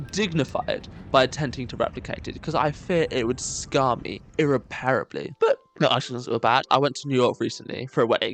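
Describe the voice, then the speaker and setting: A man with a British accent at a fairly quick pace, music playing in the background. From Britain. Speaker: YouTuber. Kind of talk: casual monologue. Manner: animated.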